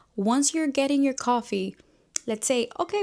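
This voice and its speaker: With lively intonation and a Spanish accent, a woman talks at a moderate pace. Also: very clean recording, silent background. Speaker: book YouTuber. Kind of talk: casual chat. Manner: animated.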